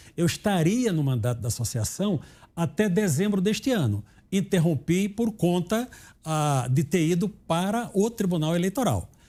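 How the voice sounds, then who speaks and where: Moderately paced, a man speaks in a high pitch with very wide pitch swings. His tone is dark and mellow, his loudness very even. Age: 60s. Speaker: retired judge. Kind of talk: interview. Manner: halting.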